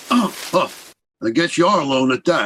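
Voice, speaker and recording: A man's put-on character voice, raspy and high-pitched, with very wide pitch swings at a moderate pace. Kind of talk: 1930s radio acting. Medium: old radio play. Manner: slangy, gruff wisecracking.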